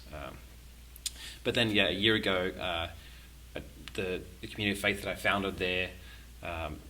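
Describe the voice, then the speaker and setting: A man with an Australian accent, very deep and low in pitch yet bright and sharp in tone, at a moderate pace with ordinary pitch variation, long, frequent pauses and audible room echo. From Sydney, Australia. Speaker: musician and faith community founder. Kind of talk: podcast interview. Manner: halting, many fillers.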